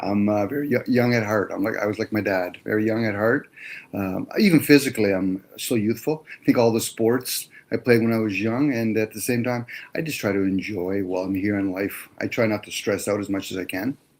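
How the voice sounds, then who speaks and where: In a plain, everyday voice, the speaker goes at a fairly quick pace with ordinary pitch variation. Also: man, fairly low pitch for a man. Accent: Canadian. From Canada, Toronto area. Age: 60s. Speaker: electrician, caller. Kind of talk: casual chat.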